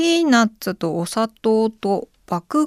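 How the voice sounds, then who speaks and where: In a very clean recording with a silent background and a dry, close sound with no echo, a woman speaks at a fairly high pitch with very wide pitch swings. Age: 30s. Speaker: podcast host. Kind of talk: solo casual podcast talk.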